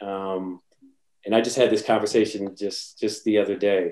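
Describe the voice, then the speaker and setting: A man with an unremarkable speaking voice and a fairly low pitch talks in an American accent at a moderate pace, his intonation fairly even. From US Northeast, New Jersey. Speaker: wealth advisor. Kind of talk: interview.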